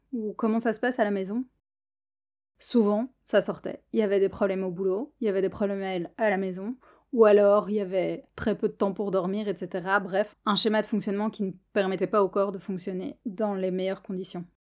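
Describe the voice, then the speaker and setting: In a very clean recording with a silent background, the voice keeps a moderate pace and fairly even intonation. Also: woman, medium pitch for a woman. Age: 20s. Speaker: podcast host, physiotherapist and coach. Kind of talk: monologue podcast.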